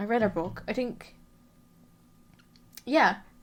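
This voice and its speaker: A woman speaks with fairly even intonation while music plays in the background. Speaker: true crime podcaster. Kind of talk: casual podcast monologue. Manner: hesitant, many fillers.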